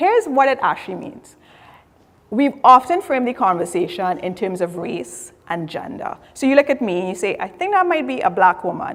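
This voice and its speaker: In a Trinidadian accent, a woman speaks at a moderate pace with very wide pitch swings. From Trinidad and Tobago. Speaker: diversity and inclusion specialist. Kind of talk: conference talk.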